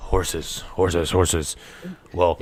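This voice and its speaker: A man uses a raspy, put-on character voice. It sits very deep and low in pitch. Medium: actual play. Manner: rambling, flustered.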